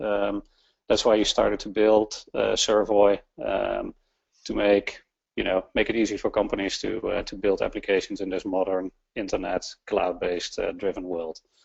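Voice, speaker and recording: This is a man with a Dutch accent. He keeps a moderate pace. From Netherlands. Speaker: webinar host. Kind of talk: webinar introduction. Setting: online webinar. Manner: halting, many fillers.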